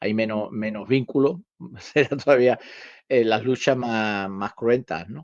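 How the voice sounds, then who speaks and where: A man talks at a fairly slow pace with a medium pitch. His loudness swings widely, while his pitch varies in an ordinary way. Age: 60s. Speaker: karate teacher. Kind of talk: casual podcast discussion. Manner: halting, many repetitions.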